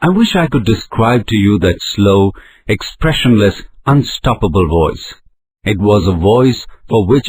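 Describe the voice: Against a quiet background, the speaker gives a plain reading aloud.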